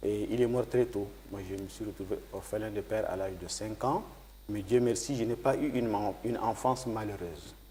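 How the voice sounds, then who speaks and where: This man has a fairly low pitch, a dark, mellow tone that is somewhat breathy, fairly even intonation, and a moderate pace. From Chad (Batha region, grew up also in N'Djamena). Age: 60s. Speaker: politician and former journalist. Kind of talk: TV interview.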